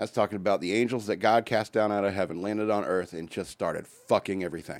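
The speaker goes at a very fast pace. The intonation stays fairly even. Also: man. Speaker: radio host. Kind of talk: casual banter on an irreverent radio show. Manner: fast talker.

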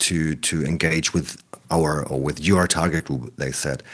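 A man speaks with a German accent at a very deep, low pitch. His pace is fairly slow, with ordinary pitch variation. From East Germany, small town. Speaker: anti-extremism worker. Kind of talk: interview. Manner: halting.

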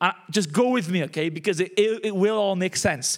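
Speaking fairly quickly in a Welsh accent, a man with a high pitch uses ordinary pitch variation. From Wales. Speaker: pastor. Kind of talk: sermon.

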